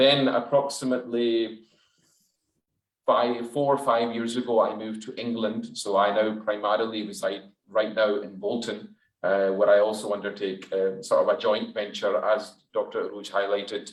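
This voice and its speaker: In a Glaswegian accent, a man speaks at a moderate pace. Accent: Glaswegian Scottish. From Scotland, Glasgow. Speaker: dentist. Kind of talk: webinar talk.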